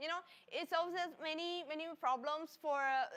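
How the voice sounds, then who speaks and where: Moderate pace against noticeable background noise. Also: woman. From Italy. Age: 20s. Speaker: livestream product presenter. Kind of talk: live sales stream. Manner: halting, many repetitions and fillers.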